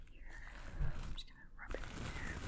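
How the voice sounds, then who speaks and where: A woman whispering at a moderate pace. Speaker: beauty vlogger. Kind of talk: casual vlog chat, product tutorial. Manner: soft, hushed ASMR voice. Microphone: phone near.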